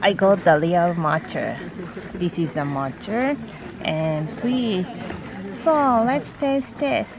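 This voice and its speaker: A woman's very slow voice with a Japanese accent and very wide pitch swings, in dry sound with no echo, over noticeable background noise. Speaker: office worker and vlogger. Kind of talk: casual vlog talk to camera.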